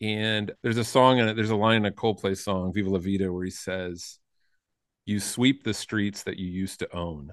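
A man with a plain, everyday voice talks at a fairly low pitch with fairly even intonation against a quiet background. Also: moderate pace. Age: 50s. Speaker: podcast co-host. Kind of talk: casual chat.

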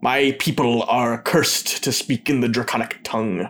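This is a put-on character voice. It growls. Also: man, medium pitch for a man, moderate pace. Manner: growling.

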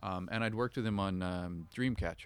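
Fairly quick and fairly low in pitch, a man speaks in a normal speaking voice with ordinary pitch variation. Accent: Canadian. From northern British Columbia, Canada. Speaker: film director and makeup effects artist. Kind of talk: interview.

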